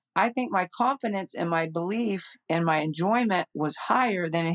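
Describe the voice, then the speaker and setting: A woman with a fairly low pitch and ordinary pitch variation is heard in a dry, close sound with no echo. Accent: American. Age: 60s. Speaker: amateur golf champion. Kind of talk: interview conversation. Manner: animated.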